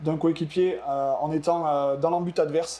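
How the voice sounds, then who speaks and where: This man's pitch sits fairly high, with a dark, mellow tone. His intonation stays fairly even. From France, Cantal (southern Auvergne). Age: 30s. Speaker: ultimate frisbee athlete. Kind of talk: podcast interview. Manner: hesitant, many fillers.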